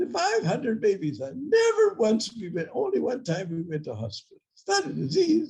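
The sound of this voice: Putting on a squeaky character voice with a high pitch, a man speaks at a moderate pace with big swings in loudness.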